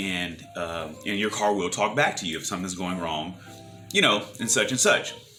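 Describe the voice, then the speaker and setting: A man's speech carries audible room echo, with noticeable background noise also present. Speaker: vlogger and personal trainer. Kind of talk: casual monologue vlog. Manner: halting, many repetitions and fillers.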